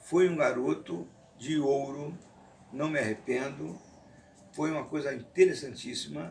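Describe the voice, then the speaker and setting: A man with vocal fry and a fairly high pitch speaks at a fairly slow pace with lively intonation and long, frequent pauses. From Rio de Janeiro, Brazil. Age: 60s. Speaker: retired kung fu teacher. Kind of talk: interview testimony. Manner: formal.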